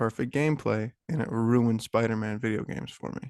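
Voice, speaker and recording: A man with an unremarkable speaking voice talks at a medium pitch and moderate pace, the sound dry and close with no echo against a quiet background. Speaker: podcast co-host. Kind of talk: casual chat.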